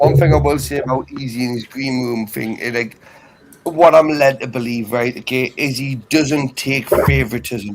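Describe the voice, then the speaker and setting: A man with a northeast English accent, medium pitch, ordinary pitch variation and a moderate pace. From northeast England. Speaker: debate stream panelist. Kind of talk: casual chat.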